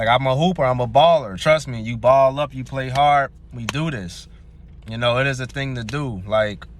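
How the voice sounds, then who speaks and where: A man with a slight Southern US accent, medium pitch, moderate pace, ordinary pitch variation and an animated tone. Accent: slight Southern twang. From US South. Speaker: astrology and tarot youtuber. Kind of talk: casual tarot reading monologue. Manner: casual, slangy, animated.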